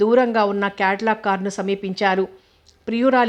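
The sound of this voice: The text comes through in an unforced reading voice.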